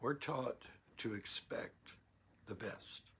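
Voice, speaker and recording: A man speaks at a very slow pace. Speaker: minister. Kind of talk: sermon. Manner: halting.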